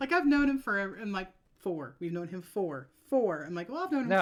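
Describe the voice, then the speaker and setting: A woman of medium pitch with a Midwestern accent, fairly quick pace, and very wide pitch swings. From American Midwest.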